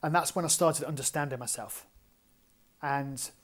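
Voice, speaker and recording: In an English accent, a man talks fairly quickly at a fairly high pitch with monotone, flat intonation, recorded very cleanly against a silent background. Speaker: strength and conditioning coach. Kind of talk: podcast interview. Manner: fast.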